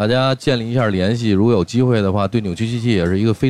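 The speaker is a man at a medium pitch. He talks at a very fast pace. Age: 30s. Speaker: rock band guitarist. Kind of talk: casual chat.

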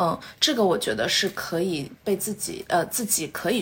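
A woman speaks in a plain, everyday voice at medium pitch, with ordinary pitch variation and a moderate pace. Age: 20s. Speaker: MBA graduate and entrepreneur. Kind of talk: casual interview chat.

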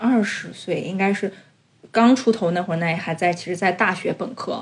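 The speaker delivers the words at a fairly slow pace in a somewhat breathy voice with ordinary pitch variation. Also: woman. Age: 30s. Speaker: podcast co-host. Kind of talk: casual chat.

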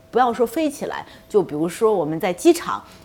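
Her pitch swings very widely around a fairly high level. The woman speaks at a moderate pace. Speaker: aviation company executive and pilot. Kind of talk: interview on radio talk show. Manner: hesitant with many fillers.

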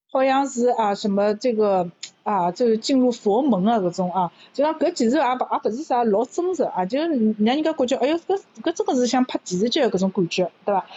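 A woman talks at a fairly quick pace in a high pitch, with very wide pitch swings and very even loudness. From Shanghai. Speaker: university lecturer. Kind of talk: casual chat in Shanghainese.

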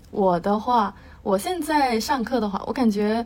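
The voice is somewhat breathy, with lively intonation and a moderate pace. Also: woman. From Beijing, China. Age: 20s. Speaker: university student. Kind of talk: casual interview chat.

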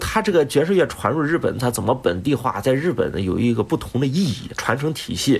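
With very wide pitch swings and a very fast pace, a man talks over noticeable background noise. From Shandong, China. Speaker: music doctoral student and flutist. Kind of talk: casual interview chat.

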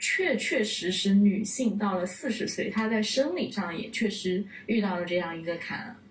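A woman at a medium pitch and moderate pace, with audible room echo and music in the background. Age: 20s. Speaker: podcast co-host. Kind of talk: casual chat. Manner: hesitant, many fillers.

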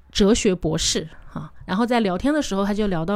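Captured very cleanly over a silent background, a woman's voice sits at a medium pitch. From Changsha, Hunan. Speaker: tour leader and travel product planner. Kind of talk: casual interview chat.

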